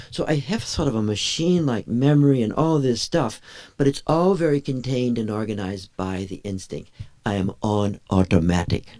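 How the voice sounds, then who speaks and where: A man's dark, mellow tone sits at a medium pitch. He moves at a moderate pace with very wide pitch swings. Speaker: meditation teacher. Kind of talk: lecture. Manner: interactive, checking in with audience.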